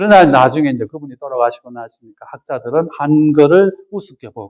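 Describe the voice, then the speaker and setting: A man talks in a plain, everyday voice at a moderate pace. His intonation is lively, and the sound is dry and close with no echo. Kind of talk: lecture. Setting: retreat with audience.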